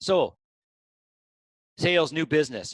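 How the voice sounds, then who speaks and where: A man talks at a moderate pace in a fairly high pitch, with an ordinary speaking voice. The sound is dry and close, with no echo. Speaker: business coach. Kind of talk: webinar presentation. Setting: conference call.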